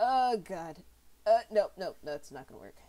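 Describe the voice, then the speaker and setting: A woman's voice, dark and mellow in tone, at a moderate pace. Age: adult. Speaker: art streamer. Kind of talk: casual chat while drawing on stream. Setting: live stream. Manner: animated, rambling with many fillers and repetitions.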